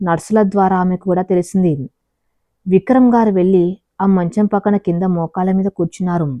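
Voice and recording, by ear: Over a quiet background, a natural voice reads aloud with fairly even intonation.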